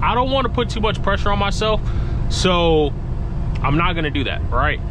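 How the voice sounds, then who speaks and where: Noticeable background noise surrounds a man speaking in a dry sound with no echo. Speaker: truck driver vlogger. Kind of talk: casual vlog chat. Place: car. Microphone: phone near.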